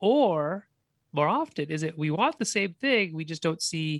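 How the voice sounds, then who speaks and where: Speaking at a fairly slow pace, a man with a Canadian accent has an ordinary speaking voice and a fairly high pitch. The background is quiet. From Canada. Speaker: game designer and college professor. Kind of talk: casual interview chat.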